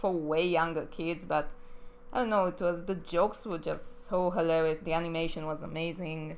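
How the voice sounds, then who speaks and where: A woman speaks in an Israeli accent at a fairly low pitch. Audible room echo surrounds her voice. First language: Hebrew. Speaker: animator. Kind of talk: live stream chat. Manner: casual, hesitant with fillers.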